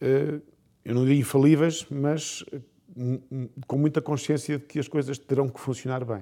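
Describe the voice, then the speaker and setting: A man's dark, mellow voice, fairly high in pitch, fairly slow, with fairly even intonation. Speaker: business executive. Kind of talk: interview.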